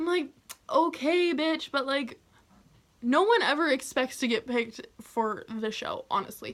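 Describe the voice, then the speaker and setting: A woman speaks in a raised, projected voice at a high pitch. Her tone is bright and sharp, her intonation lively. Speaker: YouTuber telling personal stories. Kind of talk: storytime vlog. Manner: loud; animated.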